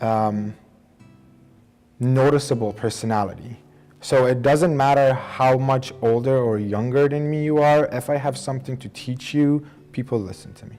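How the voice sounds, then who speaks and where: With an Iranian accent, a man talks at a moderate pace and medium pitch in a dark, mellow tone, keeping fairly even intonation while his loudness swings widely. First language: Persian. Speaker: engineering student and immigrant. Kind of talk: documentary interview.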